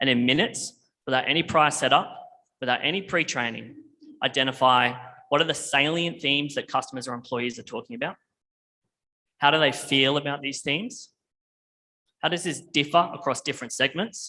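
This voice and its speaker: A man with an Australian accent, a fairly high pitch and ordinary pitch variation, at a fairly quick pace with long, frequent pauses. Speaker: tech company presenter. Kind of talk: conference presentation.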